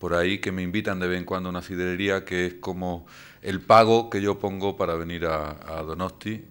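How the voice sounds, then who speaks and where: Over a silent background in a very clean recording, a man with an Andalusian accent speaks at a moderate pace in a very deep, low pitch with monotone, flat intonation. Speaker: invited lecturer. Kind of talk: lecture. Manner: hesitant, frequent fillers.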